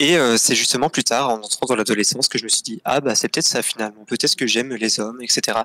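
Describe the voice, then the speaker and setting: A man at medium pitch races along at a very fast pace with hardly any pauses and fairly even intonation, his sound dry and close with no echo despite noticeable background noise. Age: 20s. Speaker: guest telling coming-out story. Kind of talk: personal testimony in interview. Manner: hesitant, many fillers.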